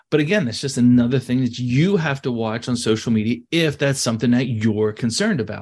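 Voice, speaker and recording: A man speaks at a medium pitch and a fairly quick pace, with hardly any pauses. It is a plain, everyday voice. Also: ordinary pitch variation, quiet background. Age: 40s. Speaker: real estate team leader. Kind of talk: casual interview.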